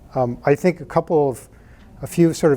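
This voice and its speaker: At a moderate pace, a man with a Midwestern American accent talks in a dark, mellow tone with fairly even intonation. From US Midwest (Michigan, Indiana). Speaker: startup founder and tech executive. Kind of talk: conference talk. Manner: soft-spoken.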